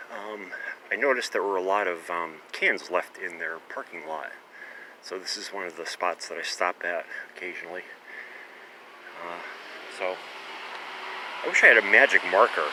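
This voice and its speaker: Moderate pace from a man, with big swings in loudness, long, frequent pauses and noticeable background noise. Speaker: vlogger, former pharmacist collecting cans. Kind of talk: casual vlog narration. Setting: outdoors at night, on a bike. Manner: hesitant, many fillers; whispering.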